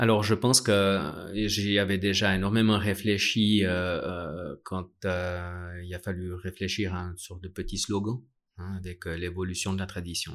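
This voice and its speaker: Talking at a fairly slow pace, a man with a very deep, low voice keeps a monotone, flat delivery while his loudness swings widely, on a very clean recording with a silent background. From Switzerland, Vallée de Joux (Vaud). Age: 40s. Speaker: watchmaker and brand founder. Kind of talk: interview. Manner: halting, many fillers.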